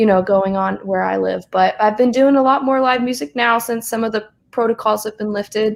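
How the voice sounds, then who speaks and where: At a fairly quick pace with hardly any pauses, a woman with a slight Southern US accent talks at a fairly high pitch with fairly even intonation. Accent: slight Southern twang. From US South, South Carolina. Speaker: singer-songwriter and college student. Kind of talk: casual chat. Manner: hesitant with frequent fillers.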